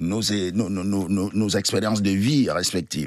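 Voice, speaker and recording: Ordinary pitch variation marks a man's fairly low voice. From Cameroon. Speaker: storyteller guest at a storytelling festival. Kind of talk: radio/TV interview answer.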